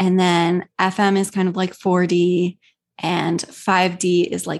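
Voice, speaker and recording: Against a quiet background, a woman with an American accent speaks at a very slow pace. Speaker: spiritual healer and coach. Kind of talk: casual interview chat.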